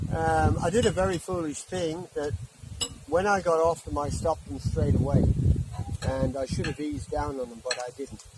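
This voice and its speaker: Noticeable background noise sits behind a man speaking at a moderate pace. His fairly high pitch carries lively intonation. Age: 70s. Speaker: retired electrician vlogger. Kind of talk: casual chat. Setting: outdoors.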